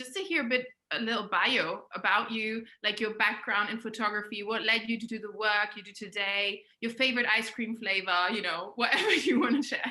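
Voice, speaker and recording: Speaking at a fairly quick pace with hardly any pauses, a woman has a fairly high pitch, a bright, sharp tone, ordinary pitch variation and big swings in loudness. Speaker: podcast host. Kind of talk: interview.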